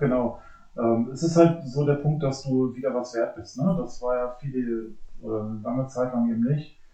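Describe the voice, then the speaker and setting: With audible room echo, a man of medium pitch talks at a moderate pace in a dark, mellow tone with fairly even intonation. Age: 40s. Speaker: police officer, basketball fan. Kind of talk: casual chat.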